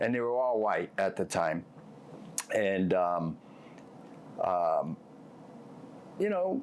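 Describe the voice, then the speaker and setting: Speaking very slowly, a man talks with a Boston accent. His pitch sits fairly low. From Boston, South Boston. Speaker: former mob enforcer, author. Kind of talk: interview. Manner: halting, many fillers.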